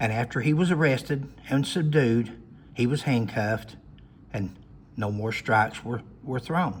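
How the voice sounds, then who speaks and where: With an Appalachian accent, a man at a medium pitch talks at a fairly slow pace in a somewhat breathy voice, with ordinary pitch variation and long, frequent pauses. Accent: Appalachian Southern US. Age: 60s. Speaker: retired law enforcement officer. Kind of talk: personal storytelling monologue. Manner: halting.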